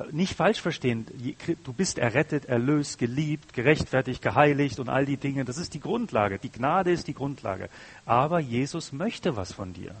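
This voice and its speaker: Lively intonation marks this man's fairly high, somewhat breathy voice. He talks at a moderate pace. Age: 30s. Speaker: guest preacher. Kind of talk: sermon.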